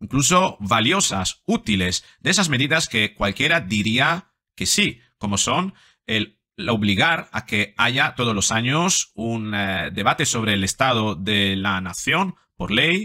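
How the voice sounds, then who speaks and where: Very slowly and with very wide pitch swings, a man speaks in a bright, sharp tone over a quiet background. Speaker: psychologist commentator. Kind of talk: commentary. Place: home room. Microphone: studio mic.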